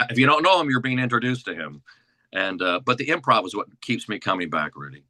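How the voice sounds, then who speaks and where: Speaking at a very fast pace, a man with a medium-pitched, bright and sharp voice swings very widely in pitch and lets vocal fry creep in. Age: 60s. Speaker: actor and comedic performer. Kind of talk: interview. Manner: fast, talkative; halting.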